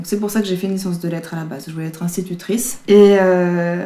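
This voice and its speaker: A woman speaks in a dark, mellow tone. Her intonation is fairly even. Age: 20s. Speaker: horn player and actress. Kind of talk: interview. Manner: hesitant, many fillers.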